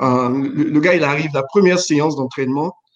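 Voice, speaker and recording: A man's fairly high, fairly quick, a normal speaking voice. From Chad. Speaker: former basketball player, finance professional. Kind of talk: casual chat.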